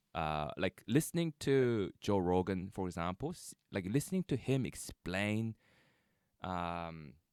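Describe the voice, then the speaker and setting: With lively intonation and a very deep, low pitch, a man speaks at a fairly slow pace in a dry, close sound with no echo, on a very clean recording with a silent background. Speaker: podcast host. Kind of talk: casual interview conversation. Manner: halting, many ums and pauses.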